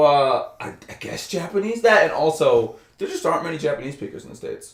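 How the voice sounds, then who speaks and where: A man speaks with an American accent and very wide pitch swings. Noticeable background noise sits behind him. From Albany, New York. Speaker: former English teacher and programmer. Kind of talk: casual interview. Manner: many fillers (uh, um, like).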